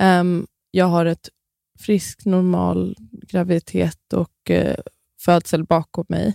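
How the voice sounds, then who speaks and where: A woman at a very slow pace with long, frequent pauses, in a dry, close recording with no echo. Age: 30s. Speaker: midwife and influencer. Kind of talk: podcast interview.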